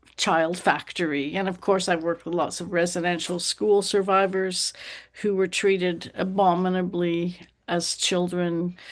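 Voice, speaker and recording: A woman talks at a fairly slow pace in an ordinary speaking voice, fairly low in pitch. The background is quiet. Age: 60s. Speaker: counselor and teacher. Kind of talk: interview.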